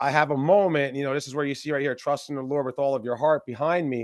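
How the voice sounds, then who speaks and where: A man's fairly high voice, with a dry, close sound and no echo. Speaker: entrepreneur. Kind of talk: interview. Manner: fast.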